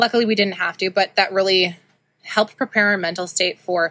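Talking at a very fast pace with a Canadian Prairies accent, a woman has a bright, sharp tone and medium pitch, recorded very cleanly against a silent background with a dry, close sound and no echo. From Saskatoon, Saskatchewan, Canada. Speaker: podcast host, shop owner. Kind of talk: personal monologue. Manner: casual, many filler ums.

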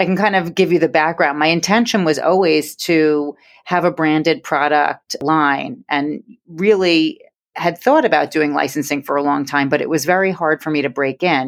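A woman's very deep, low voice in a New York accent, at a moderate pace with ordinary pitch variation, over a quiet background. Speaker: interior design business owner. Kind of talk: podcast interview.

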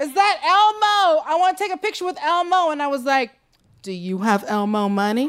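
At a fairly quick pace, a woman with an American accent talks at a high pitch with very wide pitch swings. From Seattle, Washington. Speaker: stand-up comedian. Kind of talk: stand-up. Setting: stage with audience.

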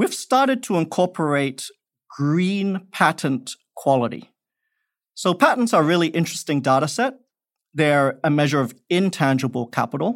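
Someone with an Australian accent talks at a moderate pace with lively intonation on a very clean recording with a silent background. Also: man, fairly high pitch for a man. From Perth, Australia. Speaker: investment expert, former professor. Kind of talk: interview.

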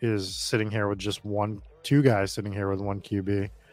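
A man with an American accent, fairly low in pitch, in a flat monotone over background music. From Boston, Massachusetts; Massachusetts. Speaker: fantasy football streamer host. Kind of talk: casual livestream chat. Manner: casual, conversational.

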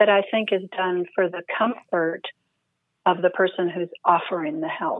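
A woman with an American accent and a normal speaking voice, medium pitch, fairly even intonation and a fairly slow pace. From California. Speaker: Zen priest and hospice chaplain, author. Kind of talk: interview.

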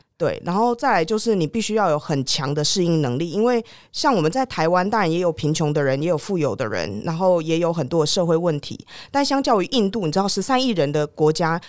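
On a very clean recording with a silent background, a woman with a Taiwanese accent speaks at a fairly quick pace, her fairly low pitch swinging very widely. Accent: Taiwanese Mandarin. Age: 30s. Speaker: former foreign correspondent, tech startup executive. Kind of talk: interview.

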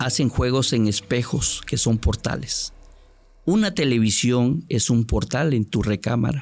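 A man's plain, everyday voice at a medium pitch, fairly slow, with ordinary pitch variation and very even loudness. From Mexico, Córdoba, Veracruz. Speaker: journalist. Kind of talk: storytelling interview.

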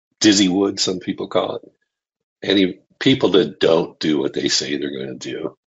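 With vocal fry and a very deep, low pitch, a man talks at a moderate pace using lively intonation. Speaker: podcast guest.

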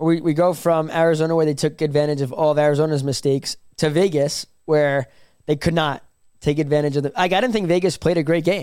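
An ordinary speaking voice from a man, fairly high in pitch, at a fairly quick pace with very even loudness and fairly even intonation. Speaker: hockey beat writer and co-host. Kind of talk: casual chat.

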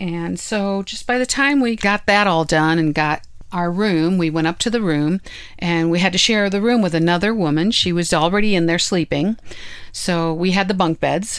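A woman's plain, everyday voice, a plain, everyday voice at a fairly low pitch, with ordinary pitch variation and a moderate pace. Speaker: podcast host, full-time RVer. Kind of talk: casual chat, conversational storytelling.

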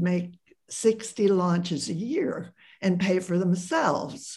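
With an American accent, a woman speaks in a dark, mellow, somewhat breathy voice, fairly low in pitch and fairly even in intonation. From US Midwest, Columbus Ohio. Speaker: sociologist and author. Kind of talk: interview.

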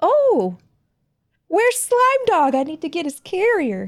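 A woman puts on a squeaky character voice at an extremely high pitch. It swings very widely in pitch and moves at a fairly slow pace. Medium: actual play.

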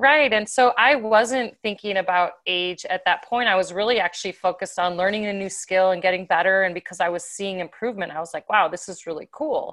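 Speaking at a fairly quick pace with hardly any pauses, a woman uses a normal speaking voice at medium pitch with ordinary pitch variation against a quiet background. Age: 50s. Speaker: professional athlete. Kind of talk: casual chat.

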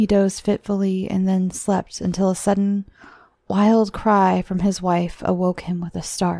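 The voice is plain reading aloud. Nothing more is heard in it.

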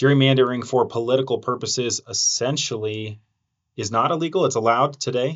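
He has an ordinary speaking voice and talks at a fairly quick pace. The man's pitch varies in an ordinary way. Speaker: TV news reporter and podcast host. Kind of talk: interview podcast.

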